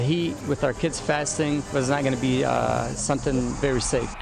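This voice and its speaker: A man's fairly high-pitched voice at a moderate pace, with ordinary pitch variation and music in the background. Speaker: high school football coach. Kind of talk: interview answer.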